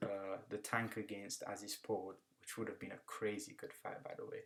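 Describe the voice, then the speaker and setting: A man with a British accent at a moderate pace. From UK. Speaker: kickboxing analyst. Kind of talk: fight predictions commentary. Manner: casual, conversational.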